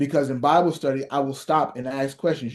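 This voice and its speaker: A man with an American accent and an unremarkable speaking voice talks at a fairly high pitch and a fairly quick pace, with fairly even intonation over a quiet background. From Ohio (East Cleveland). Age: 40s. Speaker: pastor. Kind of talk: workshop lecture. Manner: conversational, direct address to audience.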